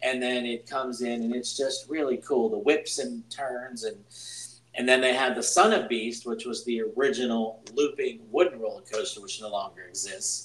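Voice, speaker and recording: Against noticeable background noise, a man speaks at a medium pitch with lively intonation. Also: moderate pace. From Pittsburgh, Pennsylvania. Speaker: podcast host. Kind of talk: casual chat.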